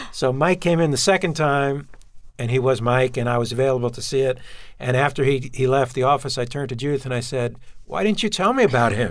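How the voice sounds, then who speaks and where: A man talks at a very fast pace in a Brooklyn accent. His pitch is medium, with ordinary variation. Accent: New York (Brooklyn). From Brooklyn, New York. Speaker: television writer and producer. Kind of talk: interview.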